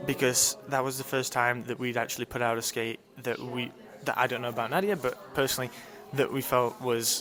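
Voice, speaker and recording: Against noticeable background noise, a man speaks fairly quickly at a medium pitch with fairly even intonation. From UK. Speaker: ice dancer. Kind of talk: interview.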